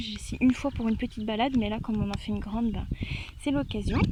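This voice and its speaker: Fairly high female voice with ordinary pitch variation, over noticeable background noise. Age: 20s. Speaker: veterinary assistant. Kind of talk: casual vlog talk to camera.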